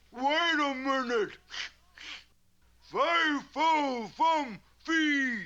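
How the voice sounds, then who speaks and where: A high, cartoonish character voice at a very slow pace, broken by long, frequent pauses. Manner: blustering, slow-witted.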